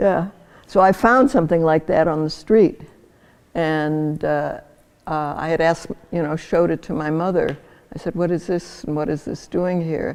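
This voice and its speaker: At a moderate pace, a woman with a fairly low pitch and ordinary pitch variation speaks with long, frequent pauses. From St. Louis, Missouri, after early childhood abroad. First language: German and Yiddish. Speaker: Holocaust-affected immigrant interviewee. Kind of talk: oral history interview.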